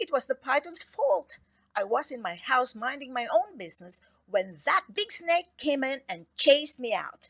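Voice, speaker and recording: Putting on a character voice, a woman speaks at a moderate pace with a high pitch, very wide pitch swings and a shaky quality. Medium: read story. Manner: timid, trembling.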